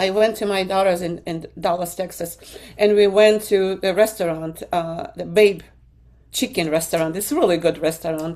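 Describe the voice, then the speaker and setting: A woman with a medium pitch has a dark, mellow tone. She moves at a moderate pace with ordinary pitch variation. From Ukraine. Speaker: guest. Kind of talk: testimony. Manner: animated.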